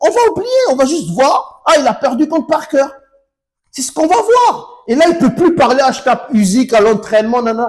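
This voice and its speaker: A man at an extremely high pitch, animated, with very wide pitch swings, big swings in loudness and a moderate pace. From Congo. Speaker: YouTube boxing commentator. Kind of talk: casual video commentary.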